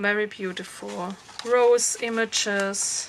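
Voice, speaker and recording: A woman speaks very slowly with a German accent, her pitch medium. Noticeable background noise sits behind her. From Germany. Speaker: crafter showing her handmade journal. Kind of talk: craft show-and-tell tutorial. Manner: halting, many fillers.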